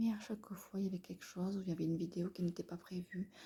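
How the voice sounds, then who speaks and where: A woman's quiet, somewhat breathy whispering. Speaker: beauty YouTuber. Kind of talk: casual vlog unboxing. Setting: living room at home. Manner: half-whispered, mixing whisper and normal voice.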